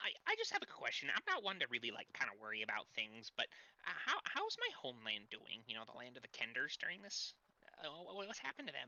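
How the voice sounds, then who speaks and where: This is a put-on character voice in a low-to-middle pitch. It moves at a very fast pace. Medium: actual play. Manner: halting, hesitant.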